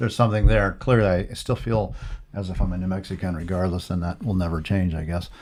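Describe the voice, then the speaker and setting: This man has a very deep, low pitch with ordinary pitch variation. He talks at a very fast pace. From New Mexico. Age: 60s. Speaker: podcast host and art dealer. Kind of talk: casual interview.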